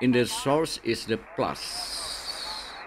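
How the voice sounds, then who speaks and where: A man's voice over noticeable background noise. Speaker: amateur radio operator. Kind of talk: tutorial. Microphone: studio mic.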